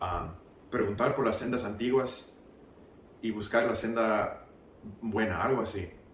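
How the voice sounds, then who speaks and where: A man talks with an American accent. The room echo is audible and background noise is noticeable. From US South (Marietta, Georgia). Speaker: former church member giving testimony. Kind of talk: testimony. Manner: halting.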